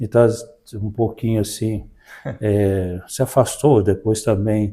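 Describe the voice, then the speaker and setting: The recording is very clean, with a silent background. A man speaks very slowly in a fairly low, dark, mellow voice with fairly even intonation. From Brazil, Minas Gerais (Belo Horizonte, Sabará). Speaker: parish priest. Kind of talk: interview about life story.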